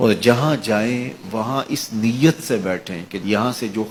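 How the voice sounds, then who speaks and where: A man's ordinary speaking voice at a medium pitch. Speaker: Islamic religious preacher. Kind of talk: religious sermon.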